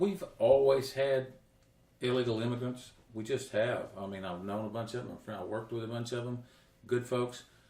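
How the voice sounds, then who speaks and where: With a Central Texas accent, a man speaks at a medium pitch and a moderate pace, with ordinary pitch variation and big swings in loudness. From Texas, Coryell County. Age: 60s. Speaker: county judge candidate. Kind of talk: interview. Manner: halting.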